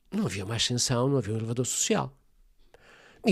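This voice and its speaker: A man talking at a very fast clip, somewhat breathy, with lively intonation, on a very clean recording against a silent background. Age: 70s. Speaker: family constellations therapist. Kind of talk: interview conversation.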